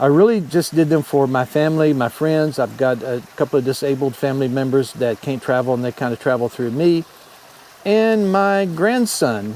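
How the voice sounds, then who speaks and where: Over noticeable background noise, a man talks at a moderate pace with a fairly high pitch and lively intonation. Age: 60s. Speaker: motorcycle travel vlogger, retiree. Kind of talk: casual vlog monologue.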